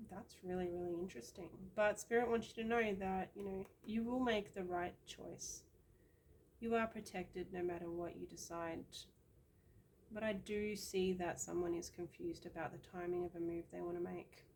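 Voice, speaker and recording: A woman with an Australian accent speaks at medium pitch and a moderate pace, her intonation fairly even. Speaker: tarot card reader. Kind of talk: card reading monologue. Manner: casual, with many fillers.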